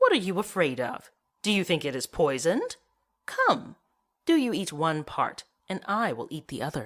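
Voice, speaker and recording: The speaker uses a put-on character voice at a middle pitch. Long pauses come often. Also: moderate pace. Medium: read story. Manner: spiteful.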